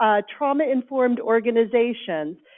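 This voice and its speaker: A loud voice at a moderate pace. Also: woman. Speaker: workshop participant reporting for a table group. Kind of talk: group report-back at a workshop.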